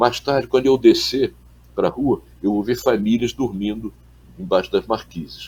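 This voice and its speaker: Somewhat breathy and moderate in pace, the voice carries lively intonation. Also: man. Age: 70s. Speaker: journalist and former political activist. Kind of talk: interview. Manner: halting, repeats words.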